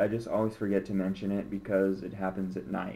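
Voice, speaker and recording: In a dark, mellow tone, a man talks at a moderate pace. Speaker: vlogger with multiple sclerosis. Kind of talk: personal video diary. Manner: slurred speech.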